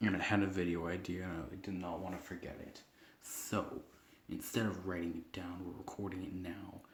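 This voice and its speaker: Quiet and somewhat breathy, a man talks at a moderate pace in a very deep, low voice. His intonation is monotone and flat, with audible room echo. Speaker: gaming youtuber. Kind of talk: casual chat.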